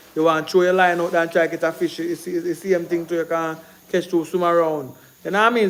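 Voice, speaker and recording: Very fast speech from a man with a high voice, over noticeable background noise. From Jamaica. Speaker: Jamaican film producer and livestream host. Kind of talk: casual livestream talk. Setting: live stream. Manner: animated.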